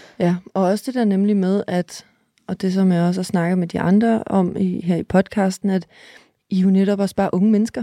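The recording is dry and close with no echo. A woman speaks at a moderate pace in a medium pitch, with a dark, mellow tone and monotone, flat intonation. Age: 30s. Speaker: podcast host. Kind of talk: interview.

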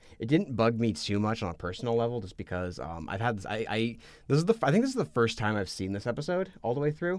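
A man talks at a very fast pace in an animated tone, his medium pitch swinging very widely. The recording is very clean, with a silent background. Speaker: podcast co-host and multimedia editor. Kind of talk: casual chat. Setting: studio. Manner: animated, rambling with repeated words.

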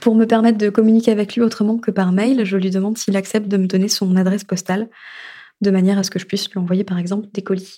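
In a very clean recording with a silent background, a woman talks very fast at a medium pitch, her dark, mellow tone held in a flat monotone. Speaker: storyteller, narrating her own story. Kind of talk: personal testimony narration. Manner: halting, repeated words.

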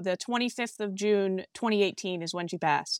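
A woman with an American accent speaks in an unremarkable speaking voice at medium pitch with ordinary pitch variation. The recording is very clean and dry and close, with a silent background and no echo. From Massachusetts, US. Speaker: grieving daughter receiving a reading. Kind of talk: emotional testimony in a medium reading.

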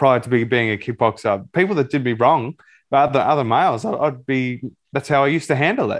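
Against a quiet background, a man speaks with an Australian accent. His voice sits at a medium pitch and moves at a fairly quick pace. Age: 30s. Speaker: psychology student and life coach. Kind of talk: interview.

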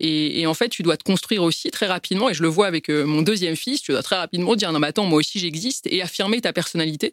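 Speaking very fast with lively intonation, a woman with a fairly low pitch is heard in a very clean, dry, close recording with no echo and a silent background. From France, Paris. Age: 30s. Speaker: business executive. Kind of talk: testimony. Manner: halting.

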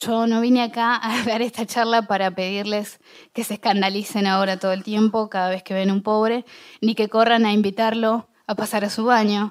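Her pitch is fairly high, and her intonation stays monotone and flat. The woman talks at a moderate pace. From Argentina, Bahía Blanca. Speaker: public speaker. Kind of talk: talk to an audience.

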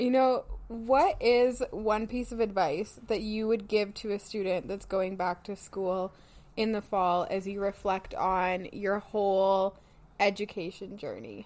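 Speaking in a Canadian accent, a woman has an unremarkable speaking voice at medium pitch. Her pace is fairly slow and her intonation fairly even. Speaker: psychology graduate student and podcast host. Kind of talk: casual chat.

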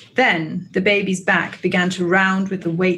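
Here we hear a natural reading voice.

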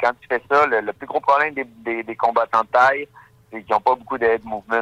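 Over music in the background, a man talks in a monotone with flat intonation. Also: dry, close sound with no echo. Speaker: professional MMA fighter. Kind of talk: radio interview.

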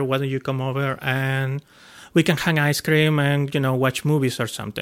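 Here a man talks at a fairly quick pace and fairly high pitch. He has an unremarkable speaking voice. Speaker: guest telling life story. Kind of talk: casual storytelling.

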